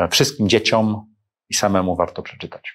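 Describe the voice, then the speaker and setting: With an ordinary speaking voice, a man talks at a fairly quick pace and fairly low pitch. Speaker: entrepreneur and investor. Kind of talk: interview.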